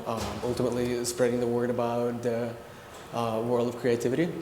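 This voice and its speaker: With audible room echo and noticeable background noise, a man at a medium pitch speaks at a moderate pace. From Ukraine. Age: 30s. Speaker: creative director. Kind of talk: panel discussion.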